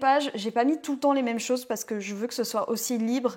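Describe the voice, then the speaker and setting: A woman talks very fast. Her pitch varies in an ordinary way. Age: 20s. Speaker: vlogger and self-confidence mentor. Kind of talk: casual vlog. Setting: outdoors in a garden.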